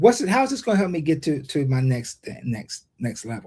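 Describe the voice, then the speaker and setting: Somewhat breathy and dark, mellow in tone, a man with an American accent talks at a moderate pace. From Ohio, US Midwest. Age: 60s. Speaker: leadership speaker and workforce development expert. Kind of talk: interview. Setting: live stream interview. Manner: halting, many repetitions.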